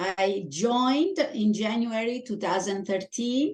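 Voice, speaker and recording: A woman speaks very slowly with a strong Italian accent. Her pitch is fairly high. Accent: heavy Italian. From Italy. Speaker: Toastmasters club member. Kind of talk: interview.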